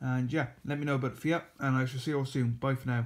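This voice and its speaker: A man's voice with monotone, flat intonation. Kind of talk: casual vlog chat. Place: home room. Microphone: phone near.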